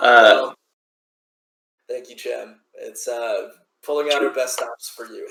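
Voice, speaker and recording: A man puts on a raspy character voice at a fairly slow pace. He leaves long, frequent pauses. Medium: actual play. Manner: polite, obliging.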